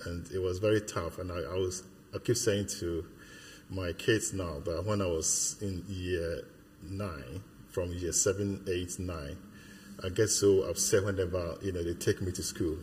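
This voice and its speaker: A man speaks slowly with a very deep, low pitch and a somewhat breathy sound. His intonation stays fairly even at this fairly slow pace. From Ghana. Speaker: church member. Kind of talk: interview. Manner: halting.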